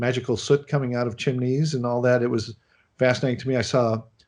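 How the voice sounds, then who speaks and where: With a Chicago accent, a man speaks at a medium pitch against a quiet background. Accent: American Midwest (Chicago). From US Midwest, Chicago. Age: 60s. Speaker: animation film director. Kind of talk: interview.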